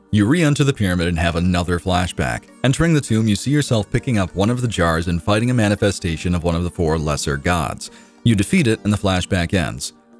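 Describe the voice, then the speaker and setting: Music plays in the background as the voice moves at a very fast pace with lively intonation. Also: man. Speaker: community content creator narrating a quest recap. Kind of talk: video game lore recap narration. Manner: casual, humorous, explanatory.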